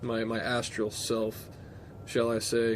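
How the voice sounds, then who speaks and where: Audible room echo surrounds a man as he talks. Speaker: vlogger telling personal story. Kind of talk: personal storytelling monologue. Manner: casual, hesitant with repetitions.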